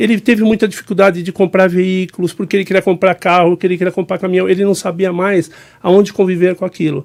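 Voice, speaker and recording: In a very clean recording with a silent background and a dry, close sound with no echo, a man talks very fast at a high pitch with monotone, flat intonation. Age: 60s. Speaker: business mentor and speaker. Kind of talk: podcast interview.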